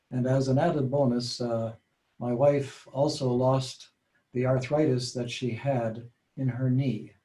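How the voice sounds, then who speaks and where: A somewhat breathy man's voice at medium pitch, dark and mellow in tone, with monotone, flat intonation. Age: 70s. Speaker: patient sharing health story. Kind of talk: testimony. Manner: halting.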